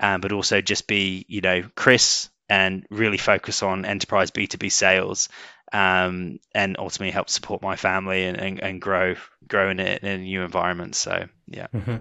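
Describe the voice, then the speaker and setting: In a British accent, a man with a very deep, low voice talks at a moderate pace in a monotone, flat delivery. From UK. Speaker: sales executive. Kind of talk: interview. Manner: hesitant, many fillers.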